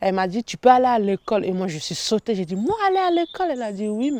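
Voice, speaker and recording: A woman's voice comes through with a dry, close sound with no echo against noticeable background noise. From Central African Republic. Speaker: refugee. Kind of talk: interview.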